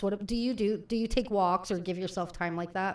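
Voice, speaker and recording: This woman's delivery is fairly quick, and her pitch shifts in an ordinary way. Hers is an unremarkable speaking voice. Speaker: radio show host and coffee shop owner. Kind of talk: radio talk show host. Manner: chatty, upbeat.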